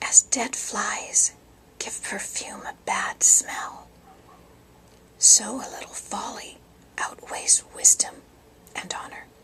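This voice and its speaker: A woman whispers very slowly with long, frequent pauses and big swings in loudness, against noticeable background noise. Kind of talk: whispered Bible reading for sleep. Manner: whispered, soft-spoken.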